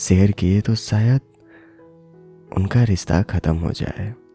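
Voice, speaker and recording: Backed by music, a man speaks in a calm, soothing tone at a fairly low pitch. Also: dry, close sound with no echo. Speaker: voice-over artist and former radio jockey. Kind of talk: storytelling podcast narration.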